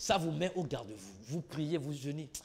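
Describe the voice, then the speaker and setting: A man is speaking. His tone is animated. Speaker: preacher. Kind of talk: sermon. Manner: repetitive, animated.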